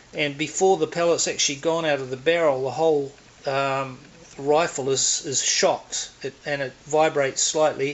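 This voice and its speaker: A man with a New Zealand accent, fairly high in pitch and monotone, at a moderate pace amid noticeable background noise. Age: 60s. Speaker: air rifle hobbyist reviewer. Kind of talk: casual product review. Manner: halting, many fillers.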